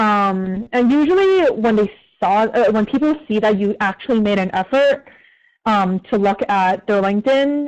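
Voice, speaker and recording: A woman with a plain, everyday voice speaks at a moderate pace in a fairly high pitch with ordinary pitch variation, against a quiet background. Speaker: community manager at an ad agency. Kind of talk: career advice Q&A talk. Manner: casual, filler-heavy.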